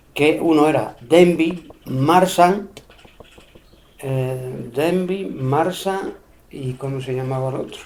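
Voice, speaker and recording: Speech comes at a very slow pace, broken by long, frequent pauses. Audible room echo and noticeable background noise fill the recording. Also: man, fairly high pitch for a man, ordinary pitch variation. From Spain, Extremadura (Cáceres, Peraleda area). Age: 70s. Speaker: elderly interviewee recalling local history. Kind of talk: oral history interview. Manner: hesitant, with fillers and repetitions.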